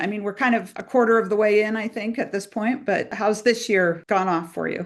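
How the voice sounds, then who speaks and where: Set against a quiet background, an unremarkable speaking voice moves at a moderate pace with ordinary pitch variation. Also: woman. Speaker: podcast host, nonprofit CEO. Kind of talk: podcast interview.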